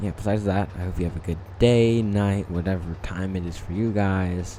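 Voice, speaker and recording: Flat, monotone intonation comes through noticeable background noise and audible room echo. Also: man. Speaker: small YouTuber. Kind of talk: rant video monologue. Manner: halting.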